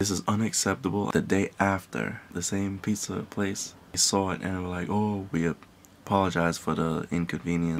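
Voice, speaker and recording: The speaker is soft-spoken and keeps a moderate pace. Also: man. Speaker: vlogger. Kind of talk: casual rant to camera. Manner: soft-spoken, held back. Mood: irritated, ranting. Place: home room. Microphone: phone near.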